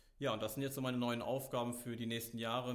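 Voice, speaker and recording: A man speaks at a medium pitch in a monotone, flat intonation, with audible room echo. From Germany, Meckenheim near Bonn. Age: 20s. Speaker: youth volunteer leader in a relief organisation. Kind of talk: interview.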